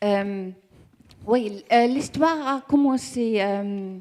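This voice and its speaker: Her tone is dark and mellow, with ordinary pitch variation. She talks at a very slow pace. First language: German (speaking French). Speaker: communications manager of energy cooperative. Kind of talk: conference presentation. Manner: halting, searching for words.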